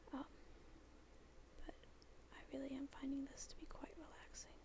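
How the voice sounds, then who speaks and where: Someone soft-spoken with a gentle tone talks at a fairly quick pace. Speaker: university student. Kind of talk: soft-spoken ASMR talk while drawing. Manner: soft-spoken, gentle.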